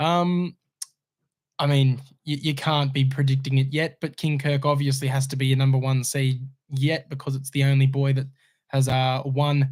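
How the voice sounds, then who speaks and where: Somewhat breathy, a man's medium-pitched voice moves at a moderate pace. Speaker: horse racing podcast host. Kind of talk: casual chat. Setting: studio.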